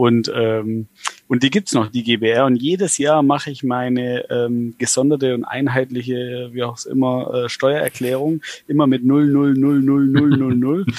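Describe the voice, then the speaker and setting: With a Swabian accent, a man speaks at medium pitch and a fairly slow pace. His intonation is fairly even, and there is noticeable background noise. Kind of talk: casual chat. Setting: video call.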